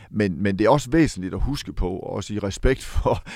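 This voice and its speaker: A man talks at a moderate pace in an unremarkable speaking voice, fairly low in pitch. The background is quiet. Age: 50s. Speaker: football commentator. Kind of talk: interview.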